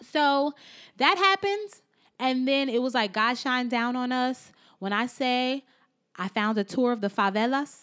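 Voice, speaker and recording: A woman at high pitch speaks at a fairly slow pace, her tone animated and intonation lively, in a dry, close recording with no echo that is very clean, with a silent background. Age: young. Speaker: car sales professional and podcaster. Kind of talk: casual chat.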